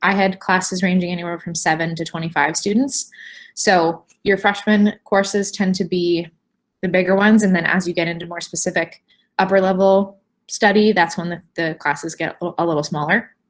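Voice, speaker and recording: In an unremarkable speaking voice, a woman of medium pitch talks at a fairly quick pace with fairly even intonation, on a very clean recording with a silent background. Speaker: university admissions representative. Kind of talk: admissions presentation.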